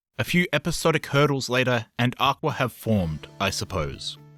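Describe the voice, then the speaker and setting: Music plays behind a man speaking at a medium pitch. His pitch swings very widely. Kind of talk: video essay narration.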